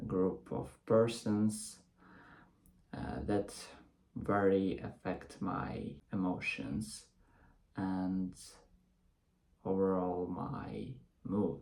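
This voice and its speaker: The speaker has a non-native accent and a very slow pace. Long, frequent pauses break up the speech. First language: not English. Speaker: English learner. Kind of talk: casual talk to camera. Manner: hesitant, with pauses.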